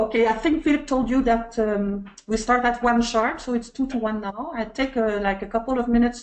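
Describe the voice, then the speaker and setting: A woman with a French accent speaks at a moderate pace in a fairly high pitch. Her intonation is fairly even. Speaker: webinar moderator. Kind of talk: casual pre-show chat; webinar introduction. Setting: online webinar. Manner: halting.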